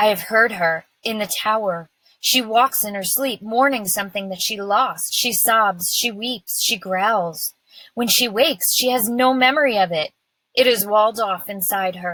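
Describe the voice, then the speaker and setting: A woman puts on a character voice and pitches it fairly high. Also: moderate pace. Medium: read story. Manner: murmuring.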